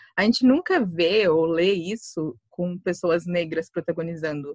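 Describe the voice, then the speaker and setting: A woman with a fairly low voice speaks in a normal speaking voice, recorded dry and close with no echo. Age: 20s. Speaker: writer. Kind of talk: casual chat.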